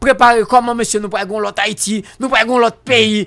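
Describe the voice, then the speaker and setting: Against a quiet background, a man speaks with a high-pitched voice. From Haiti. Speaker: political commentator; guest. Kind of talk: radio talk show interview. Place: studio. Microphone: studio mic.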